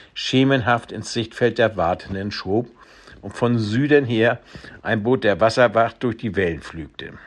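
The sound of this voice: Pitch variation of an ordinary kind across an unforced reading voice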